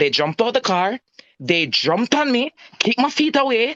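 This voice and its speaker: Speaking with a Jamaican accent, a man swings very widely in pitch, and the sound is dry and close with no echo. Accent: Jamaican, patois-inflected. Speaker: citizen telling about a police encounter. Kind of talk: personal testimony in a live-stream chat.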